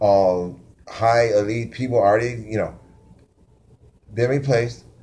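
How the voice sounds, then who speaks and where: A man's medium-pitched voice with a dark, mellow tone and audible room echo. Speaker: conspiracy vlogger. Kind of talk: casual monologue; reading aloud own notes. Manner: fast; halting.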